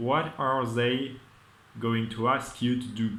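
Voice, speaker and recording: With a non-native accent and a medium pitch, a man speaks at a fairly slow pace amid audible room echo. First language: not English. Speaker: vlogger. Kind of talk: casual monologue. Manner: halting.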